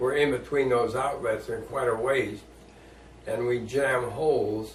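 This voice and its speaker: Noticeable background noise runs behind the speaker. A man talks at a fairly slow pace. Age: 80s+. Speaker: war veteran. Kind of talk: interview answer.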